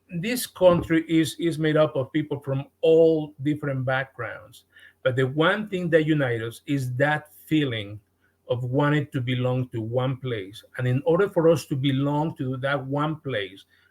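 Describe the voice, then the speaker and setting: In a Mexican accent, a man speaks fairly slowly with a somewhat breathy voice. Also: fairly high pitch for a man, ordinary pitch variation. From Mexico. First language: Spanish. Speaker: podcast guest. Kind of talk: podcast interview. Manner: halting, with frequent repetitions.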